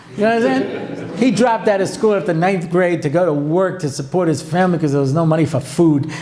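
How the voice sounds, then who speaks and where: Amid noticeable background noise and audible room echo, a man talks at a very fast pace and a high pitch in an animated tone with lively intonation. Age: 60s. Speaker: rabbi and lecturer. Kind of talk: lecture.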